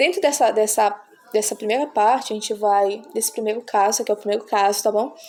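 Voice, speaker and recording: At a fairly quick pace, a woman with a plain, everyday voice and fairly high pitch speaks with ordinary pitch variation. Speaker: math teacher. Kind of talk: tutorial.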